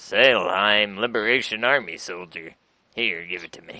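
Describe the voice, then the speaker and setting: A man speaks in a put-on character voice at a moderate pace. His loudness swings widely. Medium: game stream. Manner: gruff military orders.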